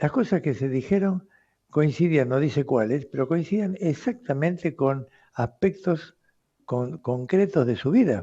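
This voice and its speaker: Lively in intonation, a man with a fairly high pitch speaks in a dark, mellow tone. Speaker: radio host, doctor. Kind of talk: radio talk answering listener letters. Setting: radio studio.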